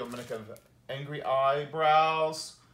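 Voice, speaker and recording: At a moderate pace, a man talks in a space with audible room echo. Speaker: teacher of puppet drawing. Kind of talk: tutorial. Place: garage. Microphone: camera far.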